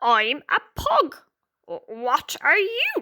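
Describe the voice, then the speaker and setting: Using a put-on character voice, a woman speaks high with very wide pitch swings. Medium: read story. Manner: muttered, stammering.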